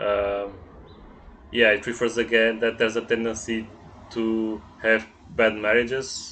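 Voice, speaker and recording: The speaker has a Portuguese accent and talks at a fairly slow pace. Intonation is monotone and flat, with long, frequent pauses. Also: man, medium pitch for a man. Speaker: astrologer. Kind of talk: astrology reading monologue. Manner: halting, many fillers and repetitions.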